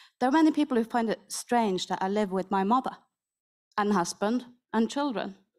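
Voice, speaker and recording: A woman with a strong North Norwegian accent, fairly high in pitch and fairly quick, with ordinary pitch variation. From Northern Norway. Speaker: panelist, Sami artist. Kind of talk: roundtable panel talk.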